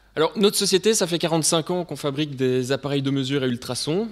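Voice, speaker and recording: Fairly high in pitch, this man speaks at a fairly quick pace. His intonation is lively. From Belgium. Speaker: sales representative presenting technology. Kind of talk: technical presentation to students. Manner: hesitant with frequent fillers.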